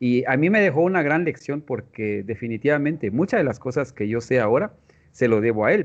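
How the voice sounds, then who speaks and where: This man speaks with a Guatemalan accent. His intonation is lively. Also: medium pitch for a man, fairly quick pace. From Guatemala, Tz'utujil-speaking village. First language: Tz'utujil (speaking Spanish). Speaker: mathematics education professor. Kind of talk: interview. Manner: halting.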